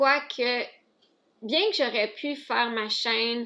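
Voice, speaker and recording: A woman's high voice with an Ontario French accent, bright and sharp in tone, at a very slow pace. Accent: Franco-Ontarian French. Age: 20s. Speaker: vlogger, stay-at-home mother. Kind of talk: casual Q&A vlog. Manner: hesitant, self-correcting.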